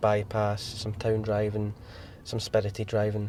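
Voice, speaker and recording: Against noticeable background noise, a man with a Scottish accent speaks fairly slowly at a fairly low pitch. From west of Scotland. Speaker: car owner. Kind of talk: interview. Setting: inside a car. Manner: halting.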